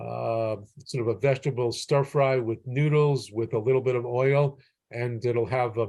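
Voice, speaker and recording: With an American accent, a man speaks at a moderate pace in a medium pitch with ordinary variation. His tone is dark, mellow and somewhat breathy, against a quiet background. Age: 60s. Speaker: physician. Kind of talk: interview. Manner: halting, many repetitions and fillers.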